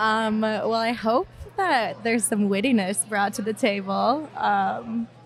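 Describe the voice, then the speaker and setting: Music plays behind a woman speaking with an American accent. She goes at a very slow pace with very even loudness. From Minnesota. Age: 20s. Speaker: marketing professional on a dating podcast. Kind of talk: casual chat. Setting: stage with audience. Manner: hesitant, many fillers.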